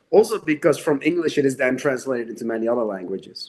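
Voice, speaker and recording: A man with a Dutch accent speaks at a fairly quick pace with lively intonation. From Netherlands. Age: 40s. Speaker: horror novelist. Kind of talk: interview.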